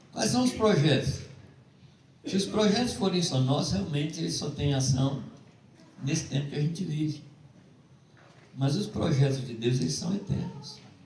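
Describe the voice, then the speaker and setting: With lively intonation and a fairly high pitch, a man talks at a moderate pace, leaving long, frequent pauses, in audible room echo. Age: 70s. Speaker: preacher. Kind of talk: sermon.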